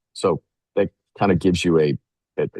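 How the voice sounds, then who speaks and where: A man with vocal fry and ordinary pitch variation speaks at a moderate pace, with a dry, close sound and no echo. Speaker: financial services CEO. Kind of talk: webinar presentation. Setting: remote call from a hotel. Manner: halting, many fillers and repeats.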